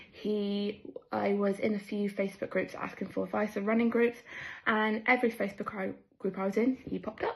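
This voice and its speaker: With a West Country accent, a woman talks at a fairly quick pace in a monotone, flat intonation. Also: medium pitch for a woman. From southwest England. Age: 20s. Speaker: amateur runner, running group member. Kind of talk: personal testimony.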